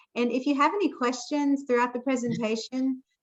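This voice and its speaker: Here a woman speaks with a Southern US accent. Her pace is moderate. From US South, Jackson, Mississippi. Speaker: foundation board member, moderator. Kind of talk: event moderation.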